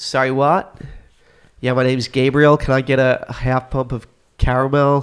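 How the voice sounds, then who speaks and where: This man talks with an Australian accent at a moderate pace. His intonation is monotone and flat. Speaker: podcast co-host. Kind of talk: casual chat.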